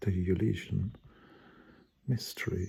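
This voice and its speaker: Speaking at a fairly slow pace, a man has a very deep, low pitch and a dark, mellow tone that is somewhat breathy. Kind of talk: spontaneous personal monologue. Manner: stuttering, halting.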